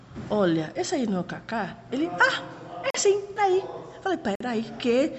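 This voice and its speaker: Noticeable background noise surrounds a woman speaking in a Spanish accent. Her pitch is high and swings very widely. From Panama City area, Panama. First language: Spanish (speaking Portuguese). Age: 30s. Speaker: tour guide. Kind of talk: interview.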